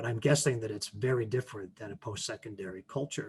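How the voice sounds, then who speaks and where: A somewhat breathy man with a western Canadian accent, fairly even intonation and a fairly quick pace. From Canada. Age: 50s. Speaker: teacher and author. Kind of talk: presentation Q&A.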